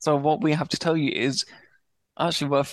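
Against a quiet background, a man with a British accent talks at a fairly quick pace, his fairly high pitch showing ordinary variation. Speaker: stammering awareness advocate. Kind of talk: interview.

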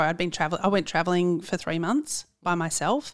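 Recorded very cleanly with a silent background, a woman with an Australian accent speaks at fairly low pitch with ordinary pitch variation. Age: 40s. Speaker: podcast producer. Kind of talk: casual chat.

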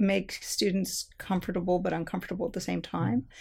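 A woman talks in an American accent. The recording is very clean, with a silent background. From Southern California. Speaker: history professor. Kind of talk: interview conversation.

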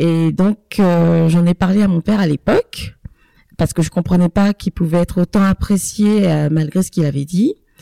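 A woman with a fairly low, dark and mellow voice speaks at a moderate pace with fairly even intonation, recorded dry and close with no echo. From Ivory Coast and France. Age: 30s. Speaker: podcast co-host, mother. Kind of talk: casual chat.

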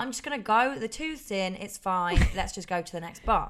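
On a very clean recording with a silent background, a woman with an East Midlands accent talks at a moderate pace and medium pitch, her intonation lively. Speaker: podcast co-host. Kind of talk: casual chat.

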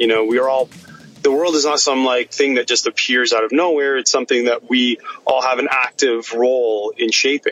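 A man with a medium pitch speaks at a moderate pace and very even loudness, with noticeable background noise behind him. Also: fairly even intonation. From Egypt-born, raised in Canada. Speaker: scientist and innovation entrepreneur. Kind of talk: interview conversation. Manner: halting, many fillers.

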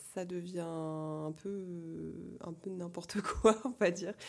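A woman with a fairly low pitch speaks at a very slow pace with fairly even intonation and big swings in loudness, amid noticeable background noise. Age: 20s. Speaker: quidditch federation president. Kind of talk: casual chat. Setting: at her home.

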